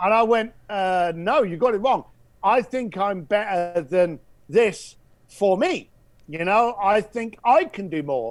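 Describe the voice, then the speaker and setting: A man with an English accent speaks at a very slow pace in a high voice with lively intonation, recorded very cleanly against a silent background. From England. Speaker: entrepreneur and speaker. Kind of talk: interview. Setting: podcast.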